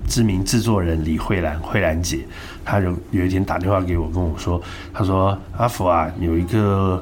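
A man's very deep, low voice at a fairly quick pace with fairly even intonation, audible room echo and noticeable background noise. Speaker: entertainment publicist and artist manager. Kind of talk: casual interview chat. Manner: blunt, direct.

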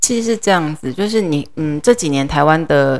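With lively intonation and a very deep, low pitch, a woman talks at a moderate pace. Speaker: middle school English teacher. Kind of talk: interview.

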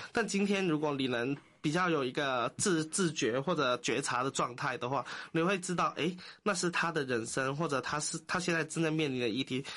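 This man speaks at a fairly quick pace in a bright, sharp tone, his pitch fairly high with ordinary variation, his loudness very even against a quiet background. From Hong Kong. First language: Cantonese (speaking Chinese). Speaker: social worker. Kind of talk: interview.

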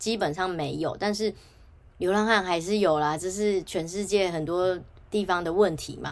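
A woman with a medium pitch speaks in a Taiwanese accent. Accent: Taiwanese Mandarin. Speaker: podcast host. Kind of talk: solo podcast monologue.

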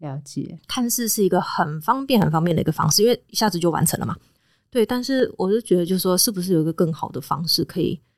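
A woman talks at a very fast pace with lively intonation and a medium pitch. The recording is very clean and the background silent. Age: 30s. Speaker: veterinarian and animal trainer. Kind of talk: casual chat.

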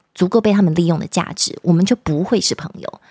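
A woman's dark, mellow voice at a fairly quick pace, dry and close with no echo. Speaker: news anchor and author. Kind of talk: casual chat. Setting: studio.

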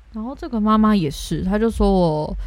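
There is audible room echo. The speaker is a woman. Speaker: podcast co-host. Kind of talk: casual chat.

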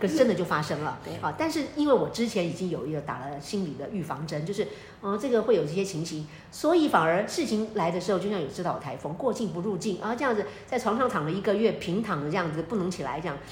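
Over noticeable background noise and audible room echo, a woman talks very fast at a medium pitch with very wide pitch swings. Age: 50s. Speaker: astrologer and author. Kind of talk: casual chat.

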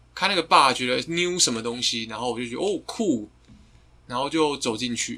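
A man's normal speaking voice, medium in pitch, with lively intonation, big swings in loudness and a moderate pace. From Taiwan. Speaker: guest, friend of the hosts. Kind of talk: casual chat.

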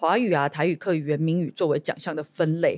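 A woman is talking. The sound is dry and close, with no echo. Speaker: podcast host and legislator. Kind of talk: casual interview chat.

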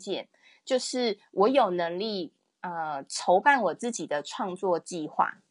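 Against a quiet background, a woman speaks at a fairly slow pace in a normal speaking voice, with lively intonation. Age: 30s. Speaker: illustrator and picture book author. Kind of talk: interview.

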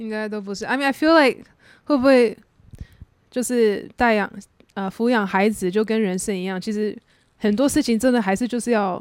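Ordinary pitch variation at a moderate pace, broken by long, frequent pauses. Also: woman, fairly high pitch for a woman. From USA (Taiwanese-American). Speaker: podcast host. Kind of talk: casual chat. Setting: host's home.

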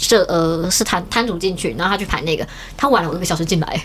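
Here a woman speaks at a medium pitch. Noticeable background noise can be heard. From Taiwan, Taichung. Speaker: illustrator and cosplayer. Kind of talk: casual chat.

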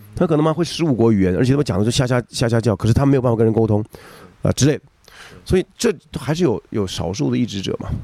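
A man's very fast, lively delivery at a medium pitch, dark and mellow in tone, with a dry, close sound and no echo. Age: 40s. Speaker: rakugo storyteller. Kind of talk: casual chat. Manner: animated; halting.

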